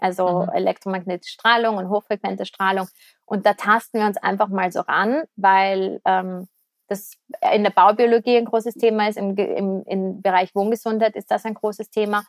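A woman with an unremarkable speaking voice talks at medium pitch and a moderate pace, recorded with a dry, close sound and no echo. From Austria, Vienna. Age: 30s. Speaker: business podcast host and entrepreneur. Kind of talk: podcast intro monologue; casual interview chat.

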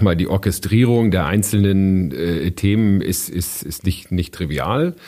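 Fairly slow male speech, very deep and low, with ordinary pitch variation. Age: 40s. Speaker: team lead at an insurance company. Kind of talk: interview. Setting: studio.

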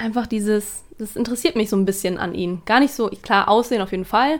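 This woman has an ordinary speaking voice. Her pitch is fairly high, with ordinary pitch variation. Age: 20s. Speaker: office colleague of host. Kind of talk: casual chat.

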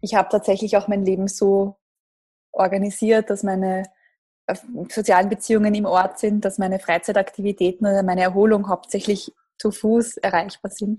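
A woman with a medium pitch speaks at a moderate pace, somewhat breathy and in a dark, mellow tone. Her intonation is flat and monotone, broken by long, frequent pauses. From Lower Austria, near Krems. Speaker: startup managing director. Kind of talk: interview.

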